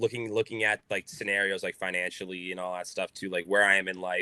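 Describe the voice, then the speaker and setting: Over a quiet background, a man talks at a fairly quick pace in a fairly low pitch with a bright, sharp tone and fairly even intonation, the sound dry and close with no echo. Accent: American. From Boston, US. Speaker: baseball player. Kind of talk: podcast interview.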